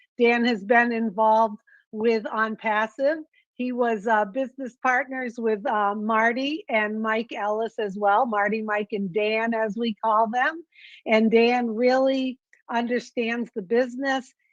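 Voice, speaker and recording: At a fairly slow pace, a woman speaks in a plain, everyday voice at fairly high pitch with fairly even intonation. The sound is dry and close with no echo, over a quiet background. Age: 60s. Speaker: webinar host. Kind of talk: online business webinar.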